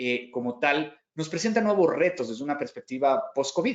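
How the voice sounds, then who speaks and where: A man speaks with a Mexican accent at a fairly high pitch. His pitch swings very widely. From Mexico. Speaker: cybersecurity company founder, conference speaker. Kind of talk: conference keynote talk. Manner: frequent hesitations and repetitions.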